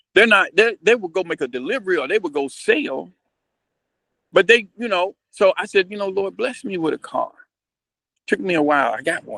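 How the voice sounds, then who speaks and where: In a dry, close recording with no echo, a man with a high pitch speaks at a moderate pace in a raised, projected voice, with long, frequent pauses, big swings in loudness and very wide pitch swings. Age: 60s. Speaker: business owner. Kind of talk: casual chat. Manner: halting.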